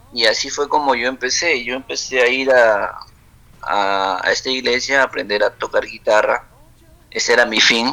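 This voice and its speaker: A man's moderate-paced speech in a Peruvian accent, with noticeable background noise. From Peru, Huancabamba (Piura highlands) and Lima. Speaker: singer-songwriter and cook. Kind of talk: casual interview. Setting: WhatsApp call.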